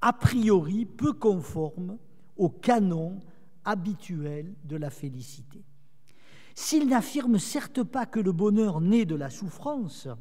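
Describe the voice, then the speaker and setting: At a very slow pace, a voice in a southern French accent has a dark, mellow tone and very wide pitch swings. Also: man, high pitch for a man. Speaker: theologian lecturer. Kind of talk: lecture.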